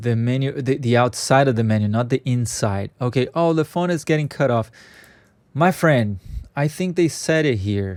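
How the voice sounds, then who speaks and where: Lively intonation marks this speaker's non-native accent, with very even loudness and a moderate pace. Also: man, medium pitch for a man. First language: not English. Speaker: software scripting tutor. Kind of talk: screen-share coding tutorial. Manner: halting, many fillers; casual, conversational.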